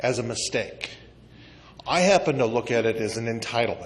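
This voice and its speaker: A man with a normal speaking voice and an American accent, ordinary pitch variation, and a moderate pace. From US Midwest. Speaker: congressional candidate. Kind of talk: candidate forum answers. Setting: community meeting banquet room.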